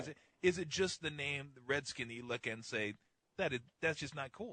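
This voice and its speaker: A man talks at a fairly quick pace in a fairly high pitch with ordinary pitch variation. His tone is bright and sharp. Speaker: sports radio host. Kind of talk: radio talk show. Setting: studio. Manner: casual, conversational.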